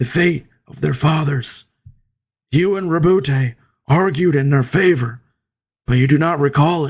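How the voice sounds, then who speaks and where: A man's raspy, put-on character voice at a fairly high pitch. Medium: read story.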